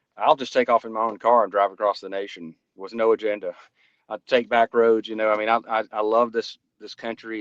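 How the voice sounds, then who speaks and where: Fairly quick speech in a Southern US accent, with big swings in loudness. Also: man, medium pitch for a man, monotone, flat intonation. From North Alabama, US South. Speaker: private investigator. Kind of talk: casual interview conversation. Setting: remote call while on a road trip. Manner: halting, with many fillers and repeats.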